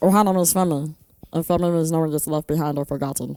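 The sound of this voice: In a put-on character voice, a woman speaks very fast with a raspy, very deep, low pitch.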